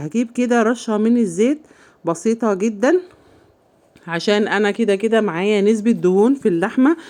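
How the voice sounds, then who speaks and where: A woman with an Egyptian accent at medium pitch and a moderate pace, against a quiet background. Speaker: home cooking channel host. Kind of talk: cooking tutorial. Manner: casual, chatty.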